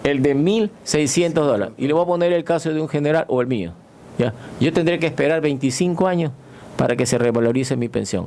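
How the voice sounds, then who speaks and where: A man with a fairly high pitch speaks with lively intonation at a very even loudness. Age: 60s. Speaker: retired navy admiral. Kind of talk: radio interview. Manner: halting.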